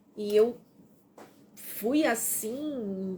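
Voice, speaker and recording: With lively intonation, a woman speaks in a plain, everyday voice at a fairly high pitch. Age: 60s. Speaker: self-help presenter. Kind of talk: live stream book reading with commentary.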